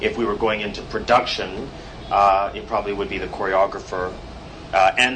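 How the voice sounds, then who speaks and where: Very fast, monotone delivery with flat intonation over noticeable background noise. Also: man. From Canada, Toronto. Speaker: theatre director. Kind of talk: panel discussion. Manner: halting.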